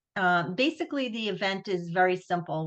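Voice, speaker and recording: In a Long Island accent, a woman at medium pitch speaks against a quiet background. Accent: Long Island New York. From Long Island, New York. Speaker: nonprofit executive director. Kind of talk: webinar presentation. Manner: casual, many fillers and restarts.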